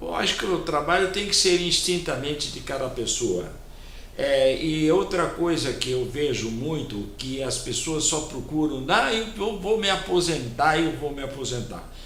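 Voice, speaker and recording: Amid audible room echo and noticeable background noise, a man with a fairly high pitch speaks fairly slowly with lively intonation. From Brazil, São Paulo. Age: 80s+. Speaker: community volunteer and businessman. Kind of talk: TV interview. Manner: halting, repeats words.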